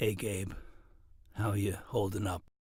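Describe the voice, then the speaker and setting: A put-on character voice, raspy and delivered in a flat monotone. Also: man, fairly low pitch for a man. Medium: read story.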